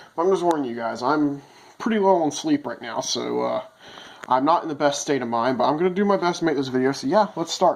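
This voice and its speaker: Background noise is noticeable as a man talks at a very fast pace. His pitch is fairly high, and his intonation is lively. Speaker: phone collector. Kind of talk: casual talk to camera.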